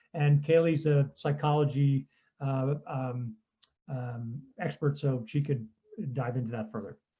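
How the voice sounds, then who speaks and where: A man with a fairly high voice speaks at a fairly slow pace, his intonation fairly even and his dark, mellow tone somewhat breathy, with long, frequent pauses. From Austria. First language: German. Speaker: customer research consultant. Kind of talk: conference talk.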